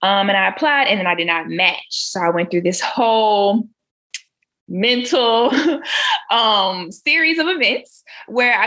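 In a plain, everyday voice, a woman with an American accent speaks at a fairly high pitch. Her intonation is lively and her pace fairly slow. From Florida (Jacksonville). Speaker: dentist. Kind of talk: interview.

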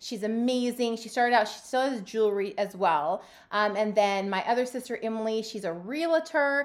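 In a very clean recording with a silent background, a woman with a fairly high pitch and a plain, everyday voice talks at a moderate pace with hardly any pauses, ordinary pitch variation and big swings in loudness. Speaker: podcast host and homesteader. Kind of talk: solo podcast monologue. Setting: home studio, video recording.

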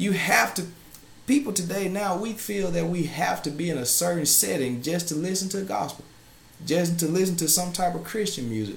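A high-pitched man talks at a fairly quick pace with lively intonation, amid noticeable background noise and audible room echo. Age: 20s. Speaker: minister. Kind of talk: bible teaching.

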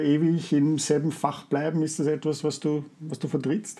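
A woman's very deep, low voice, dark and mellow in tone, monotone and flat, at a fairly slow pace. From Austria, Vienna. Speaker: podcast host. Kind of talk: interview.

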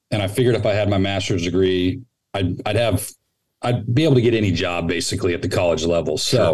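A man with an American accent talks very fast at a fairly low pitch, sounding somewhat breathy. His pitch variation is ordinary. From Northern California (Sacramento). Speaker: college baseball coach turned athletic director. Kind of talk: casual interview.

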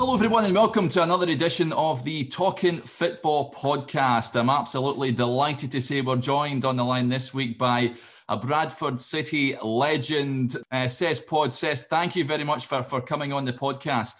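A man with a Scottish accent, fairly high pitch, ordinary pitch variation and hardly any pauses. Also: moderate pace. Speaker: football podcast host. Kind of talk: podcast interview. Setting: remote call.

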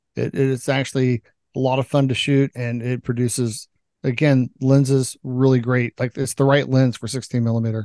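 At a moderate pace, a man with a medium pitch and a dark, mellow tone speaks in a monotone, flat way, the sound dry and close with no echo. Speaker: podcast co-host. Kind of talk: casual chat.

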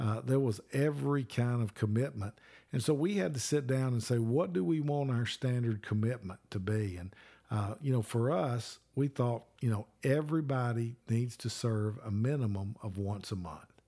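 Speaking with a Southern US accent, a man with a dark, mellow tone at medium pitch keeps a moderate pace and ordinary pitch variation on a very clean recording with a silent background. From Alabama. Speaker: children's ministry coach and podcast host. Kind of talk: teaching conversation.

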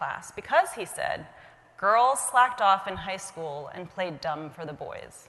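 In an American accent, a woman talks at a moderate pace with a medium pitch and an ordinary speaking voice. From US, Indian American family. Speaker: physician. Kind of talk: keynote talk. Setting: stage with audience.

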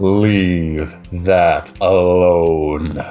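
Putting on a character voice, a man booms at a very deep, low pitch.

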